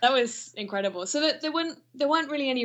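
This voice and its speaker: Speaking with a British accent, a woman uses lively intonation. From Britain. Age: 30s. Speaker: artist and fan guest. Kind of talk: casual chat.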